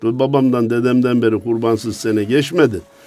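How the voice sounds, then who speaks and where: A man with an animated tone over music in the background. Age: 60s. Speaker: Islamic religious scholar. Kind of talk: religious talk.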